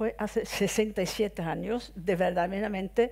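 This woman has a fairly high pitch, a dark, mellow tone and vocal fry. She talks at a very slow pace with ordinary pitch variation. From Sweden. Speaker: former MEP, widow of victim; guest. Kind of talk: off-the-cuff speech. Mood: earnest, reflective. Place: hall. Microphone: headset.

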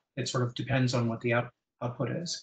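A man speaks at a fairly quick pace in a monotone with flat intonation. Room echo is audible around him. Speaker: internet standards engineer presenting. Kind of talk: technical presentation. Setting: video call. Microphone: video call.

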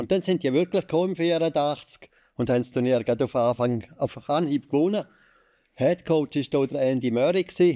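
The voice has a dark, mellow tone and moves at a fairly slow pace over a quiet background. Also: man. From Switzerland, Landquart (Graubünden); Graubünden, Switzerland. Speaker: sports journalist. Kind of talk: casual chat. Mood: cheerful, nostalgic. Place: studio. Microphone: studio mic.

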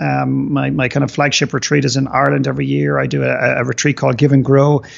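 A man's very fast speech. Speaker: podcast guest, business coach. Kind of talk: interview answer. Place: home room. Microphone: video call.

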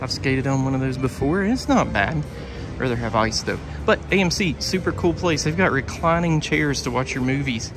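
Clear music plays in the background as a man with a medium pitch speaks with lively intonation. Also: moderate pace.

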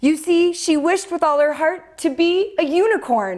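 Speaking at a very slow pace, a woman draws out her words. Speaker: children's story host. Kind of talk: storytime reading to kids. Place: studio.

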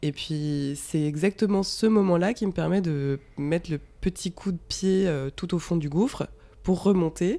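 This woman talks fairly slowly, with a fairly low pitch. Her pitch varies in an ordinary way. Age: 30s. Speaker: freelance art director and former entrepreneur. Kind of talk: podcast interview testimony. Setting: at the guest's home. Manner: hesitant, many fillers.

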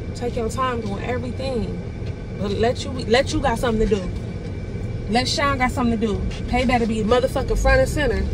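A woman speaks with hardly any pauses, and the sound is dry with no echo. Noticeable background noise sits behind her. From Houston, Texas. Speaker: YouTuber. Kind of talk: staged prank argument, profane and confrontational. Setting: in a car. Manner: heated, cursing and repeating herself in rapid bursts; stammering, defiant. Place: car. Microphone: phone near.

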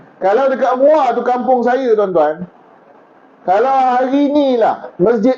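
A man with an extremely high pitch and an animated tone speaks at a fairly slow pace over noticeable background noise. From Malaysia, Johor. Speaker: religious preacher. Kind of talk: sermon. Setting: outdoors. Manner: loud.

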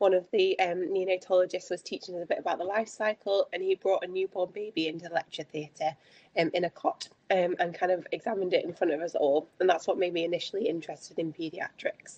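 A woman talks at a very fast pace with fairly even intonation. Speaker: presenter. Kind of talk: webinar presentation. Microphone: video call.

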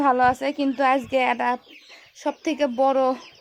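A woman's high voice rises above noticeable background noise. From Bogura, northern Bangladesh. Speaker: poultry farmer and vlogger. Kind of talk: casual vlog talk to camera.

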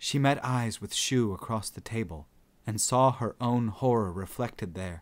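Someone is reading aloud in a natural voice. Pitch moves up and down in an ordinary way.

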